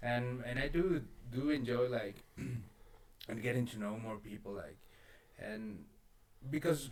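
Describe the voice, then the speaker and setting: With audible room echo, a man with a non-native accent speaks very slowly at a medium pitch, leaving long and frequent pauses. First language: not English. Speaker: podcast host. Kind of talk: casual chat. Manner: halting.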